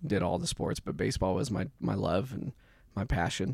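A man speaks with an American accent at a moderate pace. His pitch swings very widely, with vocal fry. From US Midwest, southwest Kansas. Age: 30s. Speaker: church member and mentor. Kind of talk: casual chat. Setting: studio.

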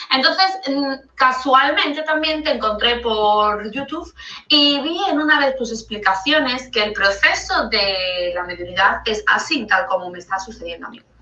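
A woman with a high pitch speaks at a fairly slow pace with hardly any pauses. Her pitch swings very widely and her loudness shifts a lot. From Andalusia, Spain (Seville). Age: 30s. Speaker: caller sending a voice note. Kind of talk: recorded voice message. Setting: recorded voice note.

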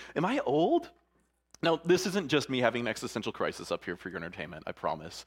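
Talking at a very fast pace, a man with a medium-pitched voice and vocal fry sounds animated, his pitch swinging very widely. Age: 30s. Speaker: pastor. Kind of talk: sermon.

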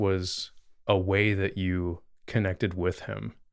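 Very slowly, a man speaks in a fairly low voice. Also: very clean recording, silent background. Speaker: podcast host and youth leader. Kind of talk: casual conversational discussion.

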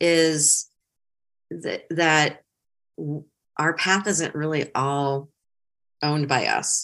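In a very clean recording with a silent background, a woman with a northern US accent speaks at a very slow pace in a very deep, low pitch, her intonation monotone and flat, with long, frequent pauses. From Ohio and Metro Detroit, US Midwest. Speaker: career coach and consultant. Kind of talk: casual interview.

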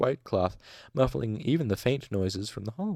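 Lively intonation runs through a passage read aloud in a natural voice.

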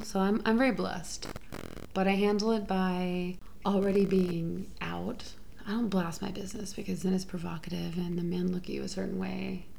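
With an American accent and a somewhat breathy, medium-pitched voice, a woman speaks amid audible room echo. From Houston, Texas. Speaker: sex worker and musician. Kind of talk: casual chat.

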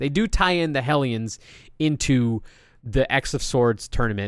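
A man's fairly high voice with lively intonation in a very clean recording against a silent background. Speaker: comic book podcaster. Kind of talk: solo podcast monologue. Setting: alone at a microphone. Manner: fast.

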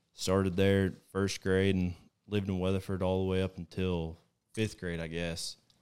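On a very clean recording with a silent background, a man with a Texan accent and a very deep, low pitch speaks at a moderate pace in a monotone, flat intonation. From Texas. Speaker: hunting guide. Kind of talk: casual chat. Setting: at a house over dinner.

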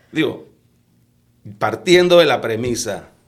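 Audible room echo is present. The voice is a man's. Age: 50s. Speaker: lawyer and politician. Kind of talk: podcast interview. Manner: halting, many repetitions.

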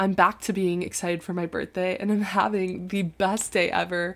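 A woman with an American accent speaks at a medium pitch and a moderate pace, with fairly even intonation. The recording is very clean, with a silent background. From Florida (Tampa). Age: 20s. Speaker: college student podcast co-host. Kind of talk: solo casual talk.

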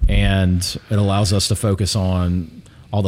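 A man speaks with an American accent at a very deep, low pitch. His intonation stays fairly even. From Alabama, US South (Pelham, near Birmingham). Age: 40s. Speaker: real estate agent. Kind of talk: casual chat.

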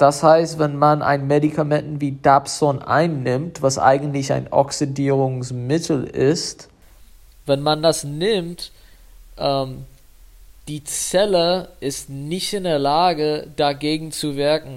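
Very slowly and with fairly even intonation, a man with a non-native accent speaks at a fairly high pitch on a very clean recording with a silent background. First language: English (speaking German). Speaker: medical student, podcast host. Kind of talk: educational tutorial. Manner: halting, with fillers.

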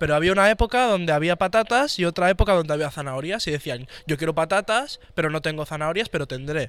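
Very fast, high-pitched male speech with lively intonation and hardly any pauses, on a very clean recording with a silent background. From Barcelona, Spain. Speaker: podcast co-host. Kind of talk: casual chat.

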